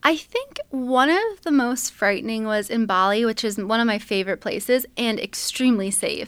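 A woman with a plain, everyday voice talks at a moderate pace with hardly any pauses, her fairly high pitch showing ordinary variation. The recording is very clean, with a silent background. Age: 20s. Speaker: travel vlogger. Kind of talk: casual interview chat.

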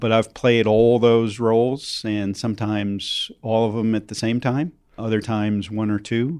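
Speaking with an unremarkable speaking voice, a man keeps a medium pitch and fairly even intonation. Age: 50s. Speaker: clean energy investor. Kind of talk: interview.

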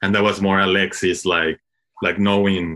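A man with a Spanish accent speaks at a fairly low pitch. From Mexico. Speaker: cinematographer. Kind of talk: interview. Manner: halting, frequent fillers and repetitions.

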